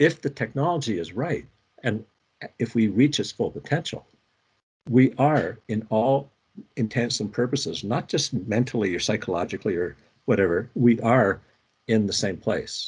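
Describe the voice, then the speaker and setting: A man at medium pitch sounds somewhat breathy, with lively intonation. He keeps a moderate pace broken by long, frequent pauses. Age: 70s. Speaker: researcher and interaction designer. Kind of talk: expert conversation.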